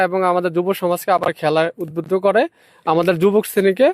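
A man with a high-pitched voice keeps his intonation fairly even. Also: dry, close sound with no echo. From Bangladesh, Cumilla. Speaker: local villager, protest organizer. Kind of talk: on-the-spot interview. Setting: outdoors at a protest.

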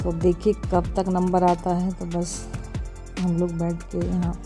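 A woman speaks in a flat monotone at a fairly low pitch, with clear music in the background. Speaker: vlogger. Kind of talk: casual vlog chat. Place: hall. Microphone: phone near.

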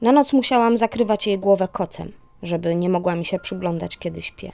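Music plays in the background as the voice moves at a moderate pace with ordinary pitch variation, its sound dry and close with no echo. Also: woman. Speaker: narrator. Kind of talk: horror story narration.

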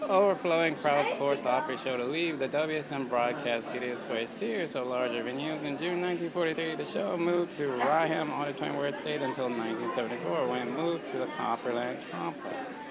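A man's medium-pitched voice with vocal fry, ordinary pitch variation, a fairly quick pace and few pauses, amid clear background noise and clear crowd noise

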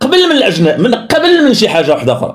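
In a quiet setting, a man is speaking. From Morocco. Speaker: social media commentator; political commentator. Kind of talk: political commentary. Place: home room.

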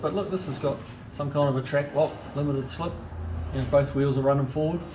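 With noticeable background noise behind him, a man speaks at a fairly quick pace. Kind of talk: walkaround commentary. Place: garage. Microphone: phone near.

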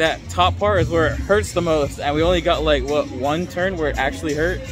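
Clear music plays in the background as a man talks at a fairly quick pace. The sound is dry with no echo. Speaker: vlogger. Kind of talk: casual vlog chat. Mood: amused, laughing. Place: street. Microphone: phone near.

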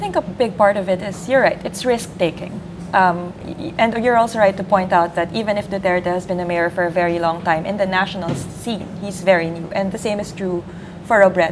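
With noticeable background noise behind her, a woman talks at a fairly quick pace with fairly even intonation. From Philippines. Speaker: sociologist. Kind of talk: live election-night panel discussion. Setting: studio. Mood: thoughtful, analytical. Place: office. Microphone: lapel.

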